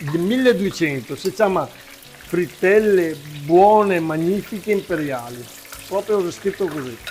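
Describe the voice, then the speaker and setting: A man's high voice with a Venetian accent and lively intonation at a fairly slow pace, with noticeable background noise. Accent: Venetian dialect slips. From Veneto, Italy. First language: Venetian (speaking Italian). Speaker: cook, agritourism owner. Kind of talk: cooking demonstration. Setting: farm kitchen. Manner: animated.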